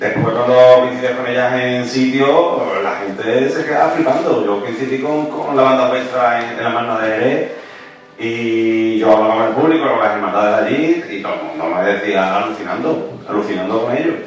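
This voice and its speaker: A man's speech, with ordinary pitch variation, comes through noticeable background noise and audible room echo. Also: medium pitch for a man, moderate pace. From Seville, Spain. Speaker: panelist on processional music. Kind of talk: round-table discussion. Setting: public round table with audience in a museum. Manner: halting, many repetitions.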